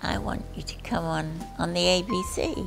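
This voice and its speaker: A woman talks at a very slow pace while clear music plays behind her. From Australia. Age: 80s+. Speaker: retired nurse, comedian. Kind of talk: interview answer. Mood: cheerful, witty. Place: home room.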